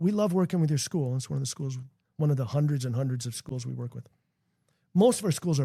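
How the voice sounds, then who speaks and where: A man with an American accent talks at a very fast pace and a medium pitch, with ordinary pitch variation. His tone is dark and mellow, somewhat breathy, and the sound is dry and close with no echo. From Minnesota, US Midwest. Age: 60s. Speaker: founder of a youth character-education nonprofit. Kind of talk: podcast interview. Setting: basement studio. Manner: animated.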